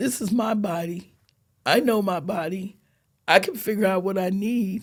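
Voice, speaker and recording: A woman's somewhat breathy voice, moderately paced, ordinary in pitch variation. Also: medium pitch for a woman. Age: 70s. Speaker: breast cancer survivor. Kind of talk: casual chat.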